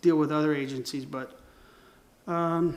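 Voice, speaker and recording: In a fairly high pitch, a man talks at a fairly quick pace with monotone, flat intonation. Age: 60s. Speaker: creative agency owner and designer. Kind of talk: casual monologue. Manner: halting, many fillers and restarts.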